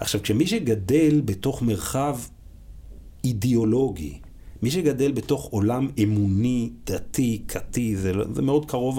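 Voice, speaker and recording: Somewhat breathy and at a medium pitch, a man speaks at a fairly slow pace with lively intonation. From Israel, religious Zionist family. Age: 40s. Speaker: school principal. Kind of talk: casual interview.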